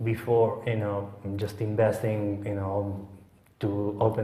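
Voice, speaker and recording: A man talks with a fairly low pitch and a dark, mellow tone. His voice is somewhat breathy, his intonation monotone and flat. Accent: Italian. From Sicily, Italy. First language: Italian. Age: young. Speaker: head chef. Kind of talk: interview answer.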